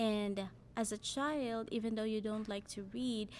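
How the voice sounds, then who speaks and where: This speaker talks at a fairly slow pace with a Filipino accent. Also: woman. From Philippines, Cebuano-speaking region. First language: Cebuano. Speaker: language learner sharing her story. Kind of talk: personal narrative, semi-scripted.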